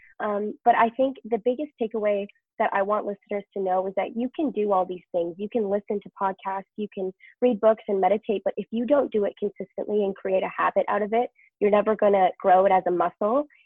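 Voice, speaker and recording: A woman with a Canadian accent uses a plain, everyday voice at medium pitch, ordinary pitch variation and a fairly quick pace. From Canada, British Columbia. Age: young. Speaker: professional dancer and entrepreneur. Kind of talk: interview conversation.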